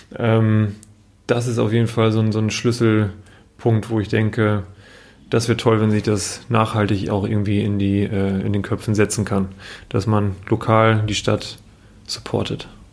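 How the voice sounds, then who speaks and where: The man's voice is fairly low, and his intonation stays flat and monotone. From northern Germany, Emsland (Meppen). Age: 30s. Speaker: business association manager. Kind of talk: interview. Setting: office.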